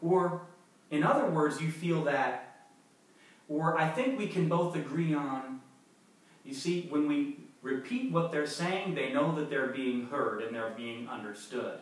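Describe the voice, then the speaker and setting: A man's fairly high pitch with ordinary pitch variation and an American accent, at a fairly slow pace over noticeable background noise. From United States. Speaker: ESL teacher. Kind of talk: business English lesson to camera.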